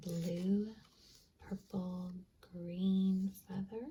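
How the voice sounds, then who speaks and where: The voice is soft-spoken with a relaxed tone. It moves at a very slow pace. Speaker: tarot-style reader using stationery supplies. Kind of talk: ASMR-style pick-a-card reading. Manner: relaxed, soft-spoken; gentle, reassuring.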